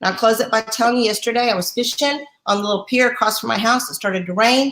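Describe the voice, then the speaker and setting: Very fast and animated in tone, a woman rushes through her words. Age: 60s. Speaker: sales director. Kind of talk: motivational talk.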